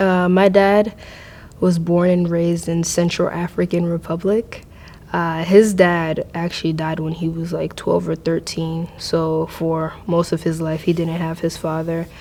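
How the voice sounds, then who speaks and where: A woman with a Mid-Atlantic accent speaks fairly slowly in a fairly low pitch, with monotone, flat intonation. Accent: American, Mid-Atlantic. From US, Maryland. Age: 20s. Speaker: university student. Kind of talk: personal interview testimony. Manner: hesitant, many fillers.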